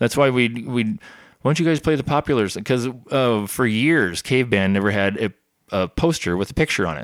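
In a plain, everyday voice, a man speaks at a medium pitch and moderate pace with lively intonation, on a very clean recording with a silent background and a dry, close sound with no echo. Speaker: musician. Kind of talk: casual chat.

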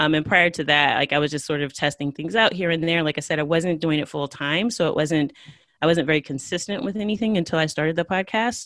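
Speaking very fast with an American accent, a woman uses a very deep, low pitch with ordinary pitch variation. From United States. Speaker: Spanish teacher and podcaster. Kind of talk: interview.

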